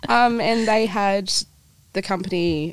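A woman talks with an Australian accent on a very clean recording where the background is silent. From New Zealand, raised in Perth, Australia from age four. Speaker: catering coordinator and home baker. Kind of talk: casual interview.

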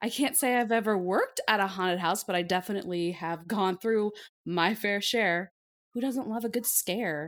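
At a moderate pace, a woman uses a normal speaking voice of medium pitch with ordinary pitch variation and very even loudness. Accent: American. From Iowa. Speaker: podcast co-host. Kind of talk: casual chat.

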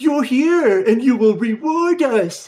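Someone uses a put-on character voice, fairly high in pitch and at a fairly slow pace. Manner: servile, not threatening.

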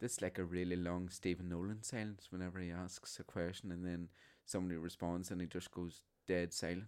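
On a very clean recording against a silent background, a man with a Northern Irish accent talks fairly quickly in a very deep, low, flat monotone. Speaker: podcast co-host, theatre performer. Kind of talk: casual chat.

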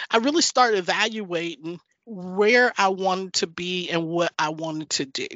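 A woman with an American accent has an ordinary speaking voice at a medium pitch. She talks at a fairly slow pace with lively intonation. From US South, North Carolina. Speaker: former oil and gas executive. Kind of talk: interview.

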